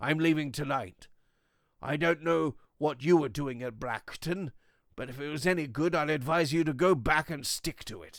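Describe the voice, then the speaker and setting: Putting on a character voice, a man talks at a moderate pace in a raspy, fairly high-pitched tone. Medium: read story. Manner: blunt, clipped, dismissive.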